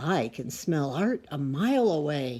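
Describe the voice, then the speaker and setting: This woman speaks at a fairly slow pace. Her put-on character voice is pitched very deep and low. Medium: read story.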